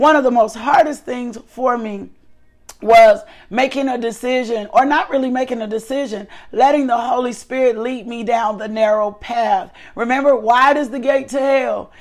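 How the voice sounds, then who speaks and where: A woman speaks with a high pitch and big swings in loudness. Music plays in the background. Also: ordinary pitch variation, moderate pace. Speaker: devotional host and minister. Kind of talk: devotional teaching and prayer. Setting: live online broadcast. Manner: fervent, repetitive praise.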